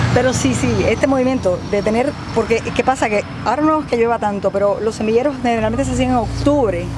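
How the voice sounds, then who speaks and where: At a very fast pace and very even loudness, a woman speaks with a fairly high pitch over noticeable background noise, the sound dry with no echo. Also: ordinary pitch variation. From Cuba. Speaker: agronomist; farm guide. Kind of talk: guided tour. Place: farm machine.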